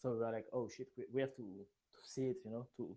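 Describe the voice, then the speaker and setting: Dark, mellow tone from a man with a French accent, at medium pitch. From France. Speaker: community member, gamer. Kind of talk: casual interview. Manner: halting.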